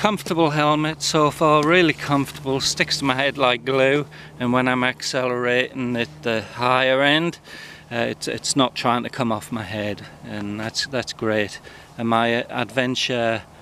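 A man talks at a moderate pace with ordinary pitch variation. The sound is dry with no echo, over light background noise. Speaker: motorcycle rider reviewing gear. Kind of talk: casual product review vlog. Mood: relaxed and pleased. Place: open country. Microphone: phone near.

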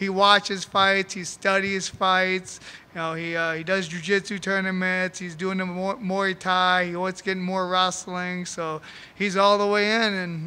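This man speaks fairly slowly in a raised, projected voice that is high-pitched, bright and sharp in tone, with monotone, flat intonation. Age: 40s. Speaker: MMA fighter. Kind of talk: post-fight press interview. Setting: press conference. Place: hall. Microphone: handheld.

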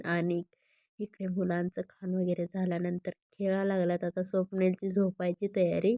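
A woman speaks at a moderate pace in a fairly low, dark, mellow voice with flat, monotone intonation, recorded dry and close with no echo.

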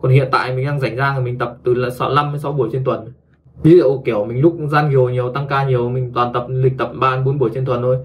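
Fairly even in intonation, a man speaks at a fast pace. Room echo is audible. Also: medium pitch for a man.

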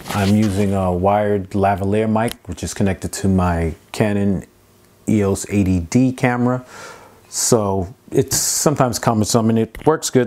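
An ordinary speaking voice, a man with fairly low pitch speaks with ordinary pitch variation. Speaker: product reviewer. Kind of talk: unboxing tutorial. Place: home room. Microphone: lapel.

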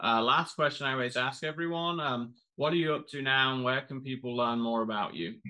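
A man with a plain, everyday voice talks at a fairly quick pace in a medium pitch, with ordinary pitch variation and hardly any pauses. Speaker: podcast host. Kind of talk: interview.

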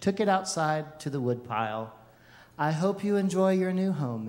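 Here a voice reads naturally. Its intonation has a lively quality.

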